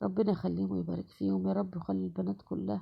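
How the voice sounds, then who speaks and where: Vocal fry runs through this woman's voice. Her pitch rises and falls across a very wide range. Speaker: home cook. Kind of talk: cooking tutorial. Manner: conversational, halting with fillers.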